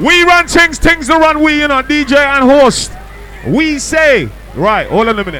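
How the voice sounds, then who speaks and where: A man speaks in a raised, projected voice at an extremely high pitch, with an animated tone and ordinary pitch variation. Noticeable background noise runs underneath. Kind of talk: hype MC working a live club crowd, shouting out DJs and closing the night. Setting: club or party with a live crowd. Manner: loud, fast, animated crowd-hyping banter with cheeky teasing and call-and-response; playful, jokey, laughing, with UK slang and warm sign-off shout-outs.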